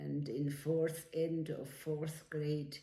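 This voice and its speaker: A woman talks at a very slow pace in a dark, mellow, somewhat breathy tone with monotone, flat intonation, and audible room echo surrounds her. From Switzerland. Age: 90s. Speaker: elderly woman telling her life story. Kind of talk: life story interview. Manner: halting.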